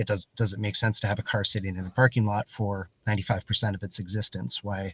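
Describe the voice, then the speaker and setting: Talking at a very fast pace, a man with an American accent uses a fairly low pitch, a bright, sharp tone and monotone, flat intonation. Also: dry, close sound with no echo, very clean recording, silent background. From Canada or the US. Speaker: podcast host. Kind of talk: interview. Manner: halting, many repeated words.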